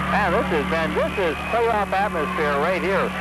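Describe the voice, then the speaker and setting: The speech moves at a moderate pace in a dry sound with no echo. Loud background noise is present. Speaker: radio sports commentator. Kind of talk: live radio sports play-by-play. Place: hall.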